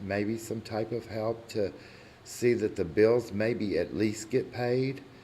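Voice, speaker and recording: In an American accent, a man with a fairly low pitch and a dark, mellow tone speaks at a fairly slow pace amid audible room echo. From Kentucky, La Grange area. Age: 60s. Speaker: resident speaking at public comment. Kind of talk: public comment at council meeting. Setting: city council meeting room.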